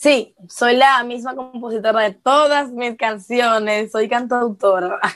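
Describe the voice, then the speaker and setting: A woman's high voice at a very slow pace, with hardly any pauses and fairly even intonation. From Dominican Republic. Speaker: singer-songwriter. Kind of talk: casual interview.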